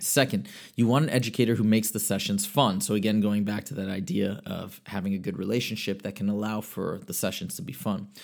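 A man's very fast, fairly low-pitched speech with ordinary pitch variation and hardly any pauses. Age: 30s. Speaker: podcast host and math tutor. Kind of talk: casual monologue. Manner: halting, with frequent repetitions.

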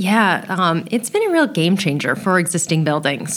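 Here is an unremarkable speaking voice from a woman at medium pitch. She talks at a fairly quick pace. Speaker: building science trainer. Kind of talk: casual interview chat.

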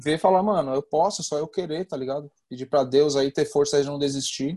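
Speaking at a fairly quick pace, a man with a fairly high voice keeps a dark, mellow tone and fairly even intonation. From São Paulo, east zone. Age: 30s. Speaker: professional skateboarder. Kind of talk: interview.

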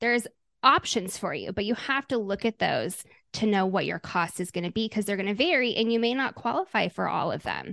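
With a Midwestern American accent, a woman of medium pitch speaks at a moderate pace with ordinary pitch variation, in a dry, close sound with no echo against a quiet background. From Omaha, Nebraska, US Midwest. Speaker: health insurance agent. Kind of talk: interview.

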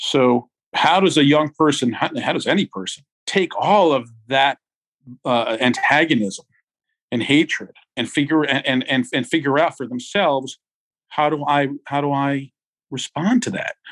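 A man's normal speaking voice, fairly high in pitch, with ordinary pitch variation and a fairly slow pace, in a dry, close sound with no echo. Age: 50s. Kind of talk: casual interview. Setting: video call.

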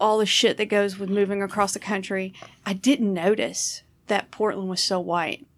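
On a very clean recording with a silent background, a woman with a Southern US accent and medium pitch speaks at a moderate pace with fairly even intonation. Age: 40s. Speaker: comedian and podcast host. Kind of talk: casual chat.

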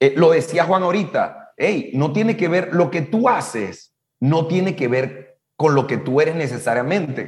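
A man speaks at a high pitch and a fairly slow pace with lively intonation. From Latin America. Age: 50s. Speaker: business coach. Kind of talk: casual chat.

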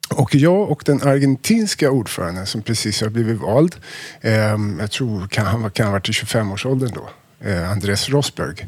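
Here is a man with a normal speaking voice and a medium pitch. He talks at a moderate pace with lively intonation. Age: 50s. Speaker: wine importer. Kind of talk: casual chat.

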